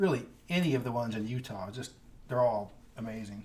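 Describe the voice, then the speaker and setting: A man with an American accent, somewhat breathy and at a fairly quick pace, amid audible room echo. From California, San Joaquin Valley. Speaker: geography YouTuber. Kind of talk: livestream Q&A chat. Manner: casual, hesitant with fillers.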